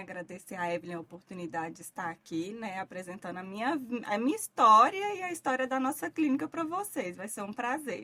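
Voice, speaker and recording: A woman with a strong Minas Gerais accent talks at a fairly quick pace with hardly any pauses and lively intonation. Her loudness swings widely, and there is noticeable background noise. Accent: thick Minas Gerais. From Minas Gerais, Brazil (Vale do Jequitinhonha, near Bahia). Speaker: physician. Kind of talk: interview.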